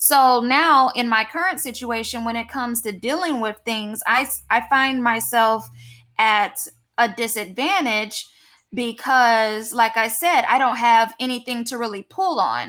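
A woman with a fairly high pitch and a bright, sharp tone is heard in a very clean recording with a silent background. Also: ordinary pitch variation, fairly slow pace. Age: 30s. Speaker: podcast host. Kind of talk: casual interview chat.

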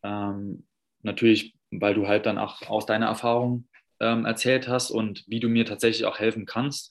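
Against a quiet background, a man with a medium pitch talks at a fairly slow pace in a monotone, flat intonation. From Saarland, Germany. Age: 30s. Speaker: personal trainer. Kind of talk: interview. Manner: hesitant, many fillers.

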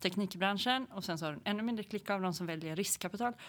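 Recorded very cleanly against a silent background, a woman talks at a medium pitch with ordinary pitch variation. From Sweden, Hälsingland. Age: 40s. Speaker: entrepreneur. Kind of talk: interview.

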